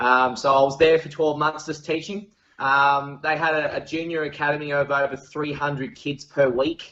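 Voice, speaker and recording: Speaking at a moderate pace, a man with an Australian accent has a fairly high pitch and monotone, flat intonation. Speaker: golf professional and coach. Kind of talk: casual interview. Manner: many fillers and hesitations.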